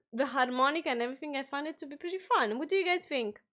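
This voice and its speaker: A woman with a non-native accent and a high pitch. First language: not English. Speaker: music reaction youtuber. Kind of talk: casual reaction commentary. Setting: live stream.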